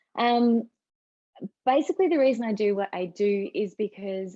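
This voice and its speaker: A woman is speaking. She has an Australian accent. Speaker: mother of four, writer and writing coach. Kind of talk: podcast interview.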